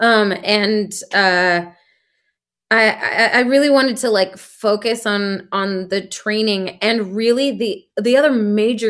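A woman speaks with an American accent at a medium pitch. It is an unremarkable speaking voice with ordinary pitch variation. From US Pacific Northwest, Seattle, Washington. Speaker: actress and singer. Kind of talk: interview.

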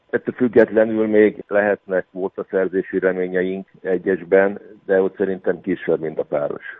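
The man speaks with a fairly low pitch at a fairly slow pace. His intonation is monotone and flat. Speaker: canoe coach. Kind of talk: radio interview.

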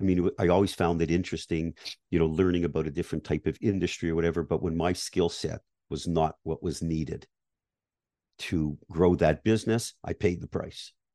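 A man speaks fairly quickly with a Canadian accent, a very deep, low pitch and a dark, mellow tone. The sound is dry and close with no echo, over a quiet background. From Canada. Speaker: business acquisition advisor. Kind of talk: interview.

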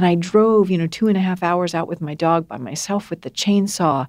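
With an American accent, a woman of medium pitch speaks in an unremarkable speaking voice with fairly even intonation over a quiet background. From US (grew up in a wealthy family). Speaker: author and speaker. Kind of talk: interview.

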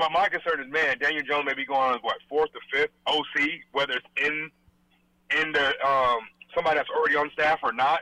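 An unremarkable speaking voice moves at a fairly quick pace, with very even loudness and fairly even intonation. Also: man, fairly high pitch for a man. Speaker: caller. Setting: phone call.

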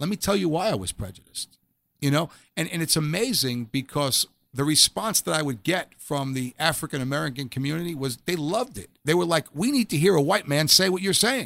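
The sound is dry and close, with no echo. A man speaks at a fairly quick pace with lively intonation. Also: fairly high pitch for a man, very clean recording, silent background. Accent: New York. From New York City (Staten Island). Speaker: former police officer turned chaplain and author. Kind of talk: testimony.

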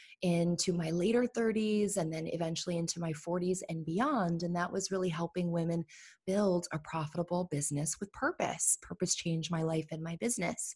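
A woman talks at a fairly quick pace, somewhat breathy, with ordinary pitch variation. The sound is dry and close, with no echo. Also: fairly low pitch for a woman. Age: 30s. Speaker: entrepreneur and business coach. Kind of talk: podcast interview. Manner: animated.

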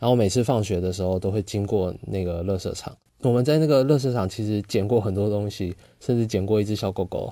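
A man with a Taiwanese accent speaks at a fairly quick pace in a fairly low voice with ordinary pitch variation. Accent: Taiwanese Mandarin. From Taiwan, Pingtung (rural south). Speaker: podcast host. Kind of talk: solo storytelling monologue.

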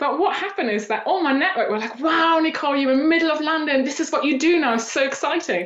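In a German accent, a woman with a high pitch and lively intonation speaks at a very fast pace with hardly any pauses, over noticeable background noise and audible room echo. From Eastern Germany. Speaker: personal branding coach. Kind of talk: interview.

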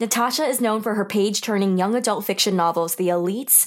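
A woman talks on a very clean recording where the background is silent. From New York. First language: Taiwanese. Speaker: podcast host. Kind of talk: scripted podcast narration; casual interview chat. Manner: animated.

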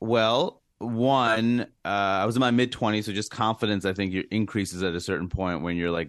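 The background is quiet as a man with an American accent talks in a plain, everyday voice. His pitch is fairly low with ordinary pitch variation, and his pace is fairly quick. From US, Queens, New York. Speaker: comedian. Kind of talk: interview.

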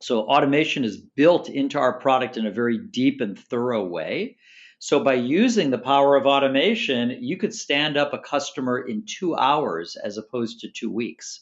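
With hardly any pauses, a man with an American accent speaks at a moderate pace in a normal speaking voice, his fairly high pitch carrying lively intonation. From Chicago, US Midwest. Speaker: tech sales executive. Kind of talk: interview.

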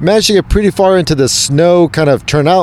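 An ordinary speaking voice from a man with an American accent, at a fairly quick pace with ordinary pitch variation. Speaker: podcast host. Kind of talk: casual chat. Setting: live at expo event.

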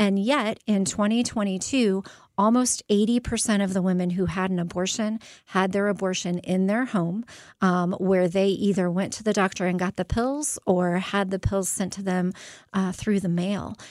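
Heard in a very clean recording with a silent background, a woman with a plain, everyday voice and medium pitch speaks at a moderate pace with an American accent. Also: fairly even intonation. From Phoenix, Arizona. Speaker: pregnancy center executive director. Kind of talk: radio interview.

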